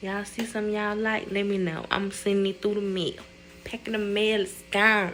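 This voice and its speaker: The woman talks at a fairly quick pace in a medium pitch, her intonation monotone and flat. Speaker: vlogger. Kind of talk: casual vlog talk. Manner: quieter than usual, inside voice; normally loud.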